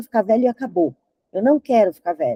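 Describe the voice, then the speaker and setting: A woman speaks with lively intonation and a dark, mellow tone. The sound is dry and close, with no echo. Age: 60s. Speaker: advertising strategist. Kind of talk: talk presentation.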